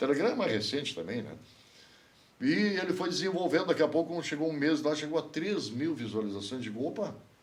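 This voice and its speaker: Vocal fry runs through this man's fairly quick speech. Very wide pitch swings mark his delivery. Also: fairly high pitch for a man. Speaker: broadcaster and news portal owner. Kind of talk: podcast interview answer.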